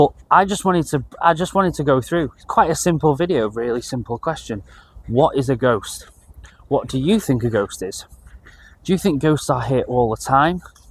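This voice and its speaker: A man's somewhat breathy voice, fairly high in pitch, at a moderate pace. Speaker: paranormal video creator. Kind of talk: casual talk to camera. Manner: hesitant, many fillers.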